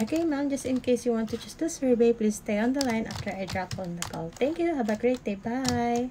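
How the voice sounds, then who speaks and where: A woman's high-pitched voice at a fairly quick pace, hardly any pauses, ordinary pitch variation, and noticeable background noise. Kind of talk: role-play customer service call.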